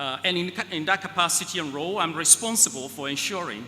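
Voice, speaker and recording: Over music in the background, a man with an African accent speaks at a moderate pace, his pitch swinging very widely. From West Africa. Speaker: keynote speaker, space agency executive. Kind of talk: keynote speech.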